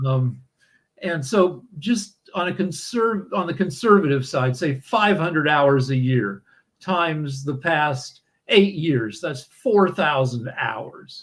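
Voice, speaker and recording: Somewhat breathy and fairly high-pitched, a man speaks very slowly with lively intonation. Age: 60s. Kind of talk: casual conversation. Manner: halting, with frequent repetitions and fillers.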